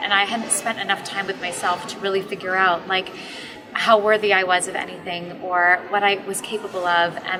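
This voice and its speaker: A woman's medium-pitched, flat, monotone voice at a fairly quick pace, with noticeable background noise. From Canada. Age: 30s. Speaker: management consultant sharing personal story. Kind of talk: personal testimony. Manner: hesitant, many ums.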